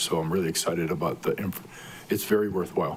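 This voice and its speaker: Monotone, flat delivery over music in the background. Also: man. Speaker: county council member. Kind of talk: committee meeting debate. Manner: loud.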